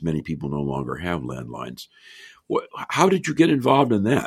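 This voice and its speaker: A man speaks with a very deep, low pitch and audible vocal fry. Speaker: podcast host and economics professor. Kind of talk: interview.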